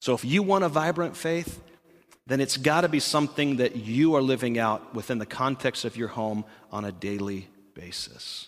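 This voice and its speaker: A man has an ordinary speaking voice at a medium pitch. He talks at a moderate pace with lively intonation. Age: 40s. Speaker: pastor. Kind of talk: sermon.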